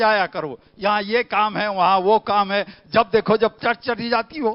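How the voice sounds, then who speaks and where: The man's voice is high, with ordinary pitch variation. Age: 70s. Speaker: pastor. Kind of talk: sermon. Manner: animated.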